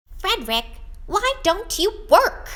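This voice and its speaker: A put-on character voice, squeaky and extremely high in pitch. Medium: read story. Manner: questioning, reproachful then anxious.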